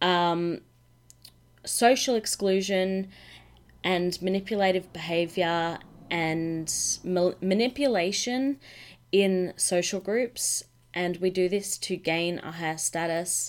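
A woman talks at a very slow pace with long, frequent pauses. Her medium-pitched voice comes through on a very clean recording with a silent background. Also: ordinary pitch variation. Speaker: feminine coach podcast host. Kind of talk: solo podcast monologue. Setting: home office.

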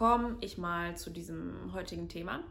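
A woman's voice carries audible room echo. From Germany, near Cologne. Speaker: podcast co-host. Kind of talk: solo personal monologue. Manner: frequent filler sounds (ähm).

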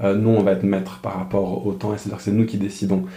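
A man's voice, fairly low-pitched with a dark, mellow tone, holds a monotone, flat intonation. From France. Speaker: pastor. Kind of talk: casual interview conversation. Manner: halting, frequent repeated words.

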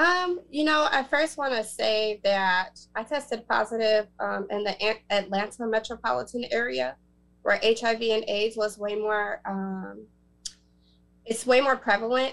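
A woman speaks in a plain, everyday voice, pitched fairly high. Her intonation is lively and her pace fairly slow. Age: 30s. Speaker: author and HIV advocate. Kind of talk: panel interview.

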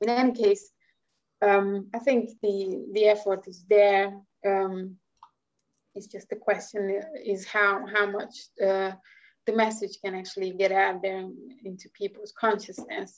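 With a Hungarian accent, a woman talks at a fairly slow pace, her intonation fairly even, with big swings in loudness and long, frequent pauses. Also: medium pitch for a woman. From Hungary. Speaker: marine scientist. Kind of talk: interview. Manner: halting.

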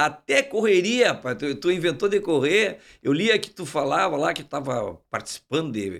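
Animated and moderately paced, a man speaks with hardly any pauses at a fairly high pitch. Vocal fry runs through his voice, along with very wide pitch swings. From Uruguaiana, Rio Grande do Sul, Brazil. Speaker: podcast host. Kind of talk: casual interview chat. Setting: studio.

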